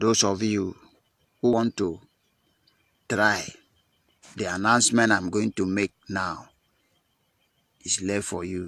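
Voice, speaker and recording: Monotone, flat intonation at a very slow pace, broken by long, frequent pauses. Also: man, fairly low pitch for a man. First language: not English. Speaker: militant group spokesman. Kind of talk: live broadcast warning speech. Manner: forceful, threatening.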